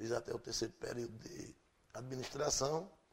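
Somewhat breathy, this voice unfolds at a fairly slow pace. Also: man. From Pernambuco, Brazil. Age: 50s. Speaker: radio presenter and musician. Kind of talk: interview.

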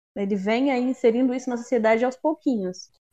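A woman has an unremarkable speaking voice with a fairly high pitch and fairly even intonation. She talks at a moderate pace in a dry, close sound with no echo. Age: 20s. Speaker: actress and musician, new podcast co-host. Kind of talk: casual chat.

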